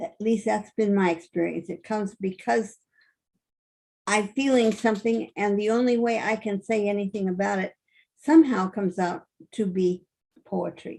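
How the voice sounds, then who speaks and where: A woman speaks at medium pitch with ordinary pitch variation and a dark, mellow tone. Her pace is moderate, broken by long, frequent pauses. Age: 80s+. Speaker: author and poet. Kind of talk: casual talk on video call.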